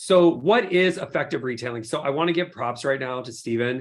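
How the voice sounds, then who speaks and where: This man's pitch rises and falls in an ordinary way. He talks fairly quickly. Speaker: skincare company CEO. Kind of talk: webinar presentation. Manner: fast; animated.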